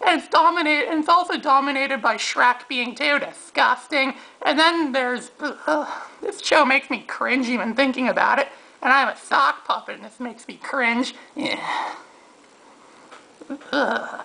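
A man puts on a cartoonish character voice pitched extremely high. He keeps a moderate pace. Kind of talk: casual rant to camera. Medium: puppet.

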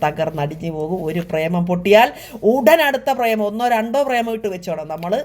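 A woman's voice over noticeable background noise. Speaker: YouTube vlogger. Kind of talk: casual talk to camera.

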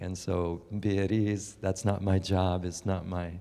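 A man speaks at a fairly slow pace with a dark, mellow tone. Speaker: guest. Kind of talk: sermon. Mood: light, reassuring, then prayerful. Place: hall. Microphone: handheld.

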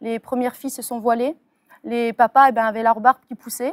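A woman's high-pitched voice at a moderate pace, dry and close with no echo, on a very clean recording with a silent background. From France, Metz. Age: 30s. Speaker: convert giving testimony. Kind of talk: testimony. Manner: halting, many fillers.

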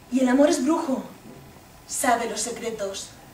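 High-pitched woman's voice with audible room echo and light background noise. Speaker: stage actress. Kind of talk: theatrical monologue. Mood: intense, passionate. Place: stage. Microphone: camera far.

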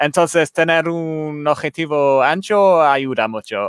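A man with an English accent speaks against a quiet background, and the sound is dry with no echo. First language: English (speaking Spanish). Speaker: light painting photographer; guest. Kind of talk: photography talk on a live stream. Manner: halting, many hesitations. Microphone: headset.

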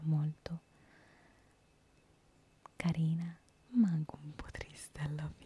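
Whispering and soft-spoken, a woman talks at a fairly slow pace in a somewhat breathy voice. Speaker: storyteller. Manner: soft close-mic whisper. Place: home room. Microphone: handheld.

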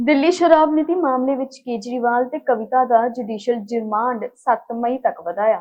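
Ordinary pitch variation in a high-pitched female voice. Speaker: news anchor. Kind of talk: formal Punjabi news bulletin reading, headlines then detailed stories. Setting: studio. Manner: brisk, steady newsreader cadence running headlines together; formal, measured delivery of facts and figures.

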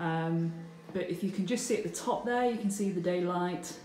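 Light background noise and audible room echo surround a woman speaking at a fairly low pitch. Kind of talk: casual vlog chat. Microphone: phone near.

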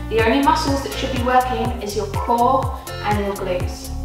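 A woman speaks at a fairly slow pace. Clear music plays in the background, and the room echo is audible. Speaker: fitness instructor. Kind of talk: workout instruction. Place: gym.

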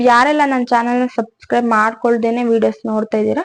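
Against a quiet background, a woman with an unremarkable speaking voice and a fairly high pitch talks with fairly even intonation. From Karnataka, village near Hassan. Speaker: vlogger. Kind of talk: casual self-introduction to camera.

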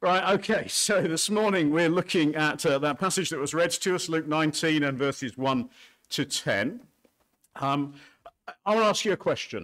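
The room behind him is quiet. His delivery moves at a moderate pace. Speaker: pastor. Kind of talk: sermon. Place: church. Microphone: podium.

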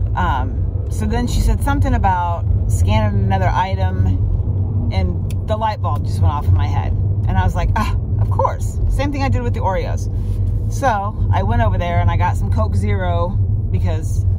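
A woman talks at a moderate pace in a dry sound with no echo, while loud background noise goes on around her. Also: ordinary pitch variation. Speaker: delivery driver vlogger. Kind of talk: casual vlog chat. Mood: amused, slightly exasperated. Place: car. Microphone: phone near.

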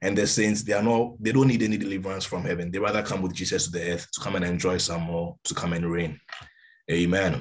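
A man speaks fast in a low pitch. His voice shows little pitch movement.

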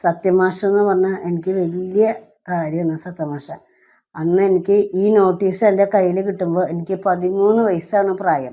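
A woman talks with fairly even intonation in a dark, mellow tone. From Kerala, Thrissur. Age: 60s. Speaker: film enthusiast, retired canteen cook. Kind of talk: interview testimony.

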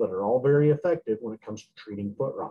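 A man talks at a very fast pace, somewhat breathy. Light noise runs in the background. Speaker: veterinarian; presenter. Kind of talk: lecture. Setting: video call. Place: office. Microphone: webcam.

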